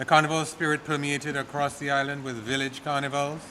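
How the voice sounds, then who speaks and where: There is audible room echo as a man speaks at a fairly high pitch. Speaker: tourism authority executive. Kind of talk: formal speech at press conference. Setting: press conference at podium. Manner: soft-spoken.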